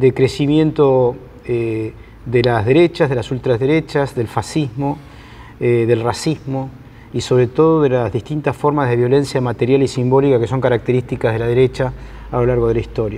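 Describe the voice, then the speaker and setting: A man with a Rioplatense accent speaks at a moderate pace and a medium pitch, his intonation fairly even, over noticeable background noise. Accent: Argentine Spanish (rioplatense). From Argentina. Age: 60s. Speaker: sociologist and professor. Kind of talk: lecture. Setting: conference hall with audience. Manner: halting, many fillers.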